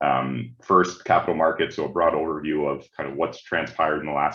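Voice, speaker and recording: In a strong Canadian accent, a man speaks at a fairly quick pace with a very deep, low pitch and vocal fry. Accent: thick Canadian. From Canada, Ontario. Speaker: management consultant. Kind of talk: webinar presentation. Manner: halting, many repeated words and fillers.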